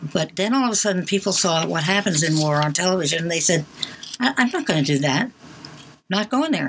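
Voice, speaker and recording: A woman's fairly low voice with lively intonation, very fast pace and noticeable background noise. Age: 80s+. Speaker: college radio co-host. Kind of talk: casual chat. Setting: studio.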